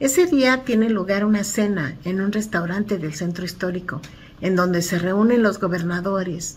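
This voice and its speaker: In a plain, everyday voice, a woman speaks at a moderate pace with a medium pitch and lively intonation. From Mexico City (Iztacalco). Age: 60s. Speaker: community activist. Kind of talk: book commentary.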